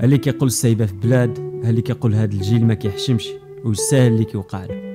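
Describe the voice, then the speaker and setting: Music plays in the background. The voice rushes at a very fast pace with ordinary pitch variation. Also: man, medium pitch for a man. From Morocco. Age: young. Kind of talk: podcast monologue.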